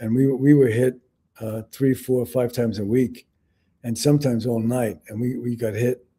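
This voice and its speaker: With a New York accent, a man speaks at a moderate pace in a medium-pitched, dark, mellow, monotone voice. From New York City. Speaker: Vietnam veteran and author. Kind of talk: interview. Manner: halting.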